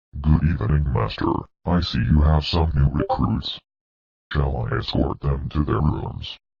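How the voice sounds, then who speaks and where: In a put-on character voice, a man talks at a moderate pace with a very deep, low pitch. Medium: audio drama. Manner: formal, courteous.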